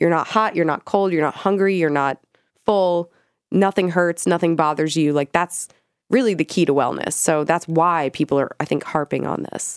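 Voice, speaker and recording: In a plain, everyday voice, a woman speaks at a moderate pace and a fairly low pitch with ordinary pitch variation, recorded very cleanly with a silent background and a dry, close sound with no echo. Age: 30s. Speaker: cannabis journalist and podcast co-host. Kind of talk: casual chat.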